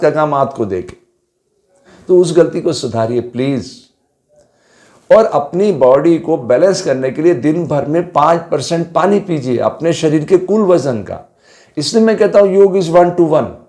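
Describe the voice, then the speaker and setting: Room echo is audible as a man with a high pitch talks with lively intonation. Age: 70s. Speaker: yoga teacher. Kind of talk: lecture.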